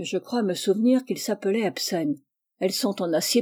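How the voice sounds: A natural reading voice with ordinary pitch variation, over a quiet background.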